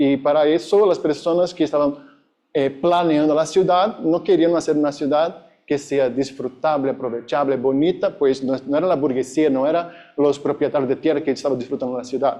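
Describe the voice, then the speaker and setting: A man with a Brazilian accent, fairly high in pitch, at a moderate pace with fairly even intonation and very even loudness. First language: Portuguese (speaking Spanish). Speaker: academic conference speaker. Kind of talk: conference presentation. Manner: halting.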